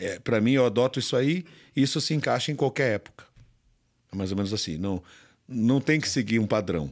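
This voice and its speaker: Against a quiet background, a man talks at a fairly quick pace with lively intonation and long, frequent pauses. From Brazil. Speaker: bodybuilding champion; podcast guest. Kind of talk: casual interview. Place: studio. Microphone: studio mic.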